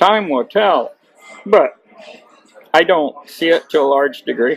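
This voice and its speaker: High in pitch, a man speaks at a fairly slow pace with lively intonation. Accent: Midwestern US. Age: 60s. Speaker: farmer and political delegate. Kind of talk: interview.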